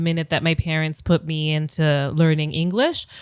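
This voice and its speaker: A woman's fairly low voice with an American accent at a moderate pace, over noticeable background noise. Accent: sounds very American. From Greece, moved around abroad. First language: Greek. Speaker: psychologist. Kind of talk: interview conversation. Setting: in person.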